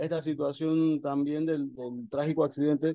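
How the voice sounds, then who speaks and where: The man's voice sits fairly high. He keeps a moderate pace. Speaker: activist. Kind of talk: interview.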